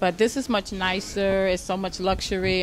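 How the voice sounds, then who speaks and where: A woman with an Atlanta accent, medium pitch and fairly even intonation. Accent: Southern US, Atlanta. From US South, Atlanta, Georgia. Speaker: stand-up comedian. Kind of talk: casual interview.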